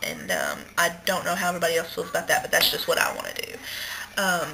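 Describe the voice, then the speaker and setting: There is noticeable background noise. Over it, a woman talks at a very fast pace. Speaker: vlogger recovering from weight loss surgery. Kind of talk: casual video diary.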